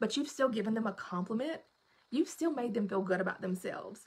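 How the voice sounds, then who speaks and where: A woman talks very fast in a Southern US accent. Her high voice swings very widely in pitch. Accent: Southern US, self-described. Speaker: direct sales team leader. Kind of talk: live stream training talk. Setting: live video stream.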